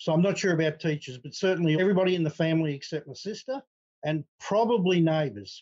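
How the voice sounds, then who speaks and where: Very fast and with lively intonation, a man with an Australian accent talks at a fairly high pitch in a dry, close sound with no echo. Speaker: retired accountant, adoptee. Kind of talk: interview conversation.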